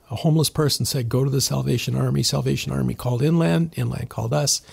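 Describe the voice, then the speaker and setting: The speech moves at a fairly quick pace with very wide pitch swings over noticeable background noise. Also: man. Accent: Canadian. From southern Ontario, Canada. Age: 60s. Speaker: church member sharing his story. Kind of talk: podcast interview, personal testimony. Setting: studio, sitting across from the host.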